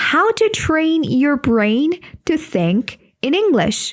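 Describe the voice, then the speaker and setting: A woman's high voice with very wide pitch swings. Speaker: English teacher. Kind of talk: podcast lesson. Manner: slow; clear.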